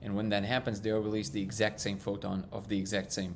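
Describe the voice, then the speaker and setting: A man's fairly low-pitched voice with a non-native accent. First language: not English. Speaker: live stream host. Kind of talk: casual live stream chat. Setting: live stream.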